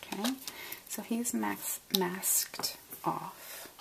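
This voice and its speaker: A woman speaks softly. Noticeable background noise sits behind her. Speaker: card-making crafter. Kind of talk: tutorial. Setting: at home, early morning. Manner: soft-spoken; casual, chatty.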